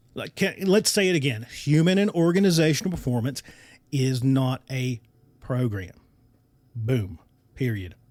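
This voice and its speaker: A man with an American accent talks loudly at a moderate pace and a medium pitch, in an animated tone. His pitch swings very widely, and he leaves long, frequent pauses. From US mountain region (Appalachia). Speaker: podcast host. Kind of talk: podcast monologue.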